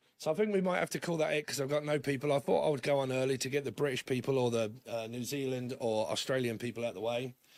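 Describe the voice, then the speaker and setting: A man at a very fast pace and medium pitch, ordinary pitch variation, hardly any pauses, noticeable background noise. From London, England. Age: 40s. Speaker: tarot reader. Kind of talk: live stream chat. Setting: livestream.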